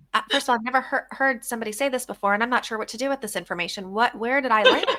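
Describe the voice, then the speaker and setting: A woman with a high voice talks very fast against noticeable background noise. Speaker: podcast host. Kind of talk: casual chat. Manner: animated.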